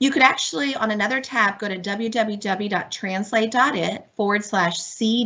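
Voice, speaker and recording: A woman talks at a moderate pace in a fairly high voice with ordinary pitch variation. Her tone is animated and enthusiastic, with noticeable background noise behind her. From Miami, Florida. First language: Spanish. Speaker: professor and online learning speaker. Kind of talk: webinar tutorial demonstration. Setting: video call webinar. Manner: animated, enthusiastic.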